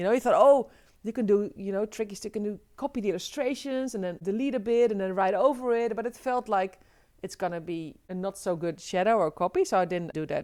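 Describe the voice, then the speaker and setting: A woman with a slight non-native accent speaks at a fairly quick pace. Her medium pitch shows ordinary variation. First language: Dutch. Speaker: illustrator and author. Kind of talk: casual interview chat.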